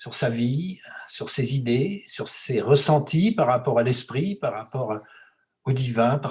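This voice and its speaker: A man's medium-pitched, somewhat breathy voice shows ordinary pitch variation. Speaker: host of a talk series. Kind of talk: host introduction and interview questions.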